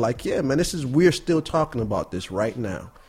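A man with an American accent talks at a fairly quick pace in a somewhat breathy voice. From Buffalo, New York. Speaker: artist and educator. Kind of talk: casual interview. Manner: relaxed, conversational.

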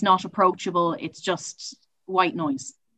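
A woman's fairly low voice with a bright, sharp tone and an Irish accent. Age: 20s. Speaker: university student and campus sustainability officer. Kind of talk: casual chat. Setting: video call.

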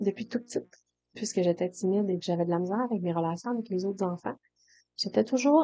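A woman's medium-pitched voice, dark and mellow in tone, in a Saguenay–Lac-Saint-Jean accent. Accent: Saguenay-Lac-Saint-Jean Quebec French. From Quebec, Saguenay-Lac-Saint-Jean. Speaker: hairdresser and coach, podcast host. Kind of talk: solo podcast monologue. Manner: casual, with fillers and repetitions.

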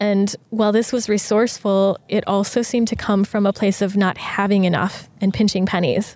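Using an unremarkable speaking voice, a woman talks at a moderate pace and medium pitch, with hardly any pauses, fairly even intonation and very even loudness. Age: 30s. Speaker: podcast host, self-love coach. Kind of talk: reflective monologue. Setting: outdoors in a park with birds, construction and traffic noise. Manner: gentle, calm.

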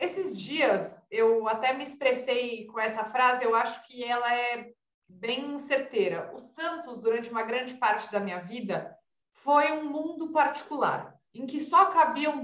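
Her voice high and her intonation lively, a woman speaks at a fairly slow pace amid audible room echo. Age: young. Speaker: sports and politics journalist. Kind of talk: casual chat.

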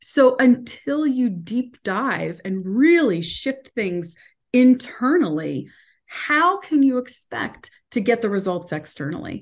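A woman with a high voice speaks at a very slow pace, her pitch swinging very widely. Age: 40s. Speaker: motivational speaker and coach. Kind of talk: interview.

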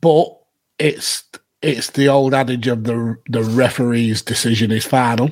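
A man talks at a fairly slow pace. His pitch is medium. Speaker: podcast host. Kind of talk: casual chat. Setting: live stream with chat. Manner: animated, laughing.

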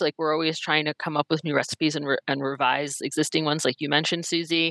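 Speaking very fast with hardly any pauses, a woman with a very deep, low pitch and a bright, sharp tone talks in an American accent, the sound dry and close with no echo. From US East Coast. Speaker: culinary dietitian, former school nutrition director. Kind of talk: casual interview.

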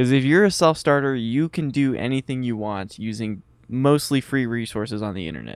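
In a plain, everyday voice, a man speaks at a medium pitch and a fairly quick pace. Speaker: podcast co-host, college student. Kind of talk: casual chat.

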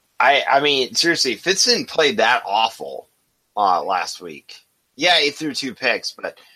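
His tone is bright and sharp, with vocal fry, as the man speaks at a fairly slow pace in a fairly high pitch with very wide pitch swings. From Wisconsin. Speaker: sports podcast co-host. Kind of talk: casual chat.

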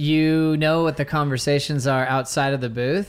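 This man has an ordinary speaking voice, fairly high in pitch, with fairly even intonation at a moderate pace, captured on a very clean recording with a silent background. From Hawaii and Southern California (Orange County). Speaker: surf commentator. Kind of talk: casual interview chat.

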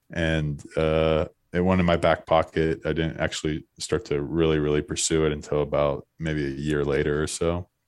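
Speaking at a moderate pace with hardly any pauses, a man with an American accent keeps a very deep, low pitch and a monotone, flat intonation. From Florida. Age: 30s. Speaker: former pro baseball pitcher and entrepreneur. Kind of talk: casual interview.

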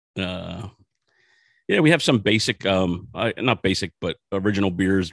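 A man with an American accent speaks at a moderate pace in a very deep, low voice with ordinary pitch variation, the sound dry and close with no echo over a quiet background. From Philadelphia, US. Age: 40s. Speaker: craft brewery owner and brewer. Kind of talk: casual interview.

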